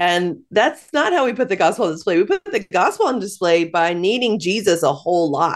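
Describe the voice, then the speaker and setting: With an American accent and an unremarkable speaking voice, a woman talks at a fairly quick pace with hardly any pauses, medium pitch, and lively intonation. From US Midwest. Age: 40s. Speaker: author and speaker. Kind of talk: interview.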